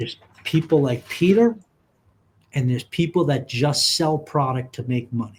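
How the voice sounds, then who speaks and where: Using lively intonation, a man speaks at a moderate pace in a somewhat breathy voice with long, frequent pauses. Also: fairly high pitch for a man. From New York City. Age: 60s. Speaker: insurance agent. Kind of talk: casual chat. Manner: animated.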